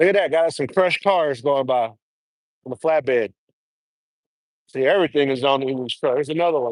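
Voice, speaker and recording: Talking at a fairly quick pace, a man leaves long, frequent pauses and uses ordinary pitch variation. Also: fairly high pitch for a man, dry, close sound with no echo. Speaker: trucker vlogger. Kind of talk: casual live stream chat. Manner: loud, raised voice.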